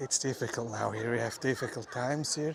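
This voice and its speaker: Over noticeable background noise, a man with a Swiss German accent talks in a monotone, flat intonation. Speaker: livestreamer, city walk vlogger. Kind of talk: live walking tour commentary. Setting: outdoors, city streets. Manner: casual, halting with fillers.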